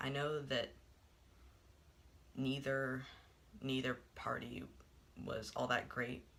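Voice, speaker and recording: A man with an American accent speaks at a very slow pace, with long, frequent pauses and a monotone, flat delivery. His voice is medium-pitched, with a bright, sharp tone. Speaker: vlogger. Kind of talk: personal vlog monologue. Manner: halting, many filler words.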